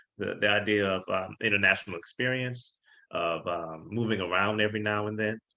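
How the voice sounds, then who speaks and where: A man with a fairly low pitch talks in a bright, sharp tone. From Louisiana. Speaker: diplomat and recruiter. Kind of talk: career info talk to students. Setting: video call. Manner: casual, many fillers and repetitions.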